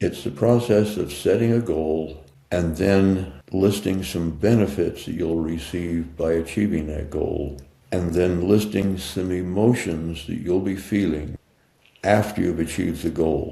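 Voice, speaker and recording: Very deep and low in pitch, this man speaks at a fairly slow pace in a somewhat breathy, dark, mellow tone. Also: ordinary pitch variation. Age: 80s+. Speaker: mindset coach and author. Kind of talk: interview answer.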